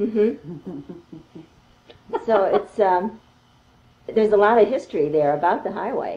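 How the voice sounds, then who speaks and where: This woman's fairly high voice has ordinary pitch variation, broken up by long, frequent pauses. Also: moderate pace. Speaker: artist and interviewer. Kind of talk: interview question, casual conversation.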